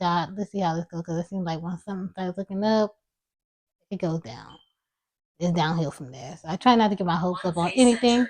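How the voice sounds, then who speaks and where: Quiet and mumbling, a woman with a fairly low pitch talks at a fairly quick pace with ordinary pitch variation and big swings in loudness, in a dry, close sound with no echo. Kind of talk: personal vlog monologue. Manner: quiet, low volume.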